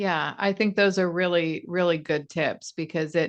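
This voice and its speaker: Over a quiet background, a woman speaks slowly-ish in an ordinary speaking voice, her pitch fairly low with ordinary pitch variation. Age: 40s. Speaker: podcast host. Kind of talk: interview.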